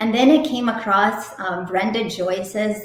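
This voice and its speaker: A speaker with a slight Russian accent talks at a fairly slow pace with ordinary pitch variation. There is audible room echo. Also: woman. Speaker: romance novelist. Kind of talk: interview. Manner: casual, many fillers.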